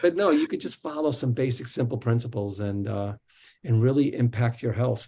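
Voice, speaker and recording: At a fairly quick pace, a man talks in a somewhat breathy voice with a dark, mellow tone. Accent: American. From New Jersey. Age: 50s. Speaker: wellness coach and author. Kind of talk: interview.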